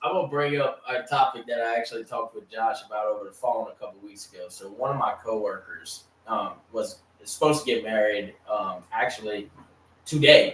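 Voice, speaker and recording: Amid noticeable background noise, a man talks at a fairly quick pace with big swings in loudness. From US South, Louisiana Cajun. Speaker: sports podcast host. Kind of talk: casual chat. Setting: live stream.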